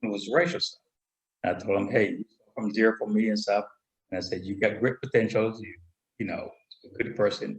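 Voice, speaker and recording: Somewhat breathy and medium in pitch, a man moves at a fairly quick pace yet leaves long, frequent pauses. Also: ordinary pitch variation. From Panama. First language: Spanish. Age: 60s. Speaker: military veteran. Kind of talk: interview. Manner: halting. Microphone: too quiet, far from computer.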